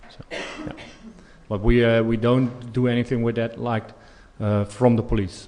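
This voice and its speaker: A man with a Dutch accent speaks at a medium pitch and moderate pace in a monotone, flat intonation. His loudness swings widely, and he leaves long, frequent pauses. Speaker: police expert. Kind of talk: conference Q&A. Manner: halting, many fillers.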